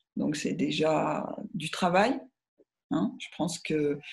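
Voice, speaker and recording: She has a very deep, low voice. A creaky vocal fry colors her speech. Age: 60s. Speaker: author on feminine spirituality. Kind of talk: interview conversation. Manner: hesitant, many fillers.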